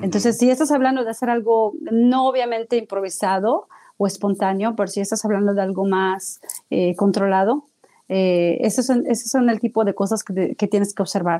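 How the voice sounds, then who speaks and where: At a moderate pace, a woman speaks at a medium pitch in a dark, mellow tone, with ordinary pitch variation and very even loudness. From Mexico City. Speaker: radio and podcast producer. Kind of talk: interview.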